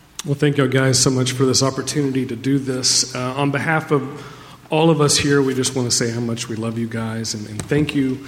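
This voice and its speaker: A man with a medium-pitched voice speaks fairly quickly in a fairly even intonation over noticeable background noise. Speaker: church elder. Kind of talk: interview. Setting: church stage.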